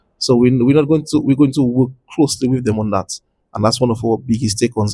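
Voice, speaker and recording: A man's somewhat breathy voice sits at a medium pitch, his intonation fairly even. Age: 50s. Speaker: chess federation president. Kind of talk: interview. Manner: halting.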